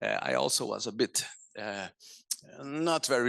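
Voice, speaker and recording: There is a man at a medium pitch speaking with a Portuguese accent. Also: dry, close sound with no echo. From Brazil, São Paulo. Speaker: conservation director. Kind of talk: lecture. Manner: halting, many fillers.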